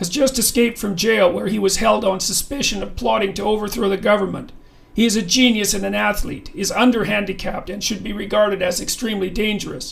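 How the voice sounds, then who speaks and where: At a very fast pace, a man performs a put-on character voice in a high pitch. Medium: read story.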